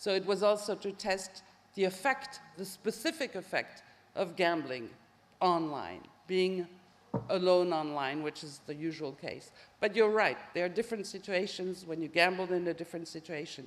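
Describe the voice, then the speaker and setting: A woman with a French accent, medium in pitch, at a moderate pace with ordinary pitch variation. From France. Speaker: professor, social psychologist. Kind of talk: Q&A answer after lecture. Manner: hesitant.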